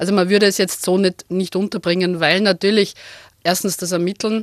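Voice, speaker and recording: Recorded dry and close with no echo, a woman speaks at medium pitch and a moderate pace in a monotone, flat delivery. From Lower Austria, Wachau (Krems). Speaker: senior police officer. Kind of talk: radio interview.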